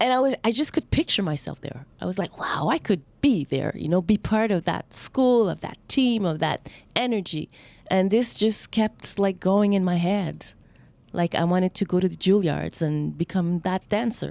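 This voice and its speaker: With a Quebec accent and a medium pitch, a woman talks at a moderate pace with lively intonation, her voice dry and close with no echo on a very clean recording over a silent background. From Montreal, Quebec. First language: French. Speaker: dancer and acrobat. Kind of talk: interview.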